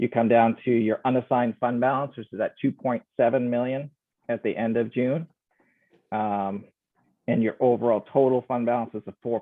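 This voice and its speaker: This is an ordinary speaking voice, with ordinary pitch variation, moving at a moderate pace. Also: man. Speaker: auditor presenting financial statements. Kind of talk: financial report presentation.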